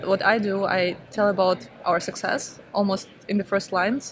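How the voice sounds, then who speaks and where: Amid noticeable background noise, a woman with an Eastern European accent speaks at medium pitch. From Ukraine. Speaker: startup founder. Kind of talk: interview.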